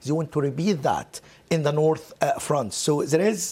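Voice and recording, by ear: A man speaks at a moderate pace and fairly high pitch, with ordinary pitch variation. His tone is slightly mellow with a slightly husky edge.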